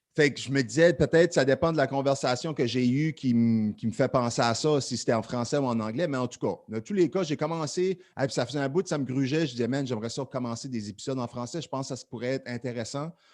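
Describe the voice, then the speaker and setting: A man with an Acadian accent and medium pitch talks at a very fast pace with hardly any pauses and ordinary pitch variation over a quiet background. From Acadian peninsula, New Brunswick. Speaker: podcast host. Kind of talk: casual chat. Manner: casual, filler-heavy.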